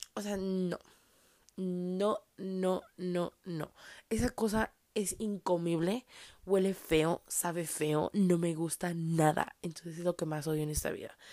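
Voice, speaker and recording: A woman speaks very slowly in a fairly low pitch with a dark, mellow tone and fairly even intonation, in a dry, close sound with no echo. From Mexico, Tijuana, Baja California. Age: 20s. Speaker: podcaster. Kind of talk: casual monologue. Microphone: new microphone.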